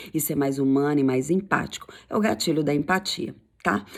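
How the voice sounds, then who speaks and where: A woman talks with lively intonation and an animated tone. The recording is very clean, with a silent background. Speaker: sales coach. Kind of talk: tutorial. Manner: fast.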